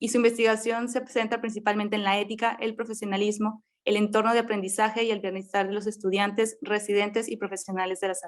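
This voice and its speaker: A woman with a northern Mexican accent speaks at a very fast pace with hardly any pauses. Her fairly high voice stays monotone and flat. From Mexico, Monterrey, Nuevo León. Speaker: medical resident and forum moderator. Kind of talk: formal introductions of panelists. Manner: formal.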